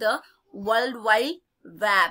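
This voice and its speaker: A woman's raised, projected voice in an Indian accent, bright and sharp in tone, with ordinary pitch variation, on a very clean recording with a silent background. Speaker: school teacher. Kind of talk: lesson reading quiz questions aloud.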